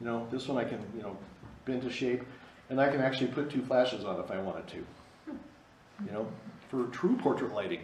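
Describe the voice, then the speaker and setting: Over noticeable background noise and audible room echo, a man talks fairly quickly at a medium pitch with ordinary pitch variation and long, frequent pauses. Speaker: photography instructor. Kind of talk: lecture. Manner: fast.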